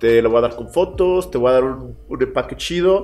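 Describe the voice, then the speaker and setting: Music runs behind the voice. The man keeps a moderate tempo. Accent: Mexican. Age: 20s. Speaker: musician. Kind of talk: casual chat. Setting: home.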